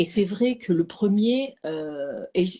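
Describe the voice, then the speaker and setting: A woman's medium-pitched, somewhat breathy voice rises and falls with ordinary pitch variation. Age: 60s. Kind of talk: casual chat. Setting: live stream. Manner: halting.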